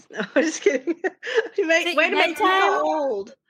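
A woman with a strong Southern US accent speaks with lively intonation and a bright, sharp tone. The background is quiet. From Arkansas. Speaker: podcast guest, true crime podcast co-host.

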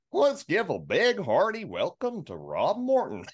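A put-on character voice, fairly high in pitch. The pace is moderate. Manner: hearty, goofy, exaggerated welcome.

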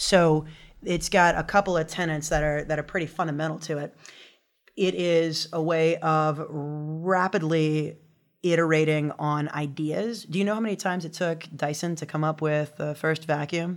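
A woman's very deep, low pitch at a moderate pace with fairly even intonation, on a very clean recording with a silent background. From US South, Louisiana. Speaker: design thinking facilitator and consultant. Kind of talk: casual interview chat. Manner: playful, humorous.

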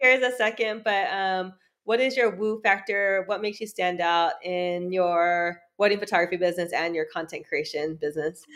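In a plain, everyday voice, a woman speaks at a moderate pace and medium pitch with ordinary pitch variation and hardly any pauses, over a quiet background. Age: 30s. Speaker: podcast host and photography coach. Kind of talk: casual chat. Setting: podcast interview.

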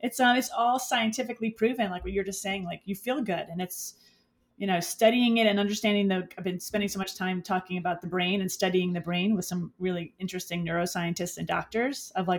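A somewhat breathy woman with an American accent talks at a fairly quick pace with ordinary pitch variation. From New York City, the Bronx. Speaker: beauty entrepreneur. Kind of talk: interview.

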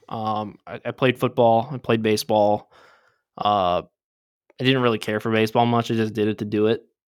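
A man speaks at a moderate pace in a Midwestern American accent, his medium-pitched voice flat and monotone. The recording is very clean, with a silent background. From southeastern Michigan. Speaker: podcast co-host. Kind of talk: personal life story.

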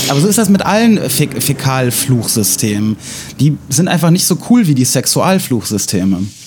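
A man speaks at a moderate pace and medium pitch with very wide pitch swings and very even loudness, over noticeable background noise. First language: Russian (speaking German). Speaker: podcast host. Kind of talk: casual chat. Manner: hesitant, many fillers.

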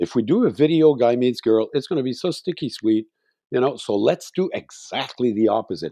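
Over a quiet background with dry, close sound and no echo, a man with a Quebec accent speaks fairly quickly at a medium pitch in a dark, mellow tone with lively intonation. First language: French. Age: 60s. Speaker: singer-songwriter. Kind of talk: interview.

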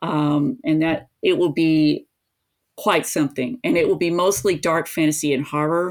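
In a very clean recording with a silent background, a woman with an American accent uses a normal speaking voice, pitched fairly low, at a moderate pace with ordinary pitch variation. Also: very even loudness. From US South, East Tennessee. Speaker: author. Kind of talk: interview conversation.

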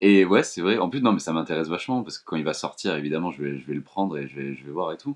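Very deep and low, a man's voice races along at a very fast pace with hardly any pauses. His intonation is lively, and his loudness swings widely. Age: 20s. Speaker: illustrator. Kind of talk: interview.

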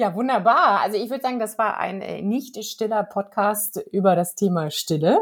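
A woman's normal speaking voice, medium pitch, ordinary pitch variation, moderate pace, hardly any pauses. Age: middle-aged. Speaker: podcast host. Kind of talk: casual chat.

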